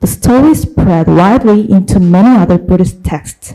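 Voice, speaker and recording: Speaking at a moderate pace, a woman talks with a Korean accent. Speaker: academic researcher. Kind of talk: conference presentation. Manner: hesitant, many fillers.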